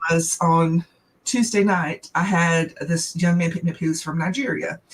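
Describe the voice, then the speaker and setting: With a Southern US accent, this woman speaks at a fairly low pitch. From US South. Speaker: small business owner. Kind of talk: casual chat.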